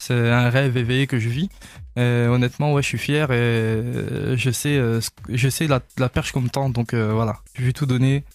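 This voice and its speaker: On a very clean recording with a silent background, a man speaks at medium pitch and a moderate pace, with fairly even intonation. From eastern France, Vosges. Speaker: singer. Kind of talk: radio interview. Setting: radio studio. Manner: hesitant, many fillers.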